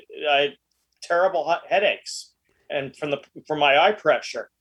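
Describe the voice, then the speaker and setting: With an American accent, a man speaks at a moderate pace and a fairly high pitch, using ordinary pitch variation against a quiet background. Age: 60s. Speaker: mixologist and author. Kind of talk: casual interview. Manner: halting, many repetitions.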